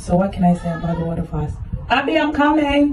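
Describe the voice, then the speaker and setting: Over noticeable background noise, a woman speaks at a fairly quick pace with very wide pitch swings. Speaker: vlogger. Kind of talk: casual video diary. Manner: casual, chatty.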